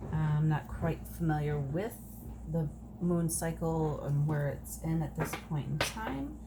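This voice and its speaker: A soft-spoken woman talks very slowly with very even loudness. Noticeable background noise and audible room echo surround her voice. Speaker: tarot card reader. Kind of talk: oracle card reading.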